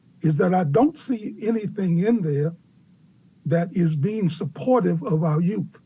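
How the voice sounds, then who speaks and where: A man's high-pitched voice, dark and mellow in tone, with ordinary pitch variation. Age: 70s. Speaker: youth community worker testifying. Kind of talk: public testimony, answering questions. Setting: public council hearing. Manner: halting, many fillers.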